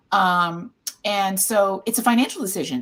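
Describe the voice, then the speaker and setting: A woman with a Midwestern accent talks at a moderate pace and medium pitch, showing ordinary pitch variation. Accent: American Midwest. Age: 60s. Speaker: caregiver support nonprofit founder. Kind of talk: casual panel discussion.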